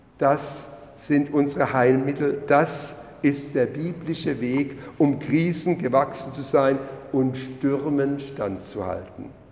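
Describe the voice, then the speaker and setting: A man's fairly high voice, very slow and fairly even in intonation, over noticeable background noise. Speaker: lay preacher. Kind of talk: sermon in church, measured, with a read-aloud story excerpt. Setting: church. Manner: formal, measured, earnest pulpit delivery.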